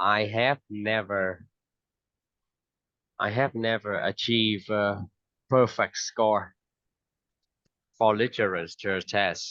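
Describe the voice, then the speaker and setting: With a Vietnamese accent, a man speaks at a very slow pace with long, frequent pauses, a fairly low pitch, a bright, sharp tone and fairly even intonation, in a dry, close recording with no echo and a quiet background. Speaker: English teacher. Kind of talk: online English lesson.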